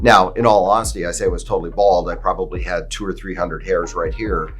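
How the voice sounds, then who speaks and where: A man's fairly quick speech plays alongside music in the background. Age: 60s. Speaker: hair restoration surgeon. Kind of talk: personal testimony. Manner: casual with fillers.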